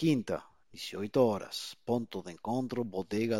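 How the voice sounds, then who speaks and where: Recorded very cleanly against a silent background, a man talks at a medium pitch with ordinary pitch variation, the sound dry and close with no echo. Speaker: amateur radio net controller. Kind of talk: radio net moderation.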